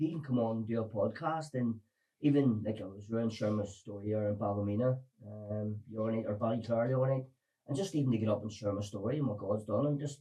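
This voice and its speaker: Talking very fast with lively intonation, a man with a Belfast accent has a dark, mellow, somewhat breathy voice. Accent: Belfast Northern Irish. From Northern Ireland, Belfast. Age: 40s. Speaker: recovered addict sharing his story. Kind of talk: podcast interview testimony.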